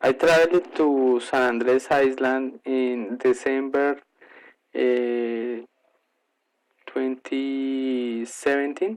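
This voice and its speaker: Speaking with a Colombian accent at a very slow pace, a man uses a medium pitch and fairly even intonation, with long, frequent pauses. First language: Spanish. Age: 30s. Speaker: English learner. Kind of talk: prepared monologue presentation. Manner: halting with frequent fillers.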